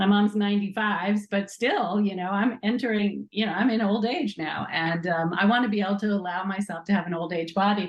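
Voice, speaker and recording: Somewhat breathy and medium-pitched, a woman speaks at a fairly quick pace with ordinary pitch variation. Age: 60s. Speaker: nonprofit co-founder. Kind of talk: interview.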